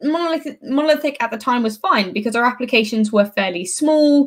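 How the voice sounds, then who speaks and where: With a British accent, a woman speaks fairly quickly at a fairly high pitch, her intonation lively. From UK. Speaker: software developer advocate. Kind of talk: conference talk.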